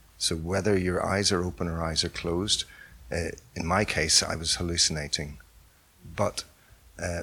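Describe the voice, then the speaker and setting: A man's very deep, low pitch with a bright, sharp tone at a fairly slow pace. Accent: Northern Irish. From Northern Ireland. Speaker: artist. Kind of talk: interview.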